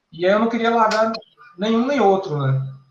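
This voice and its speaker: There is audible room echo around a man's voice. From Paraíba, northeastern Brazil. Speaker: electrical engineering professor. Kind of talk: interview.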